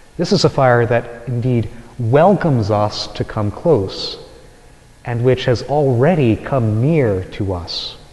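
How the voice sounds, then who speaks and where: Noticeable background noise runs under the speech. The pace is very slow, with lively intonation. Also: man, medium pitch for a man. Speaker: Dominican friar. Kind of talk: homily preached to a congregation.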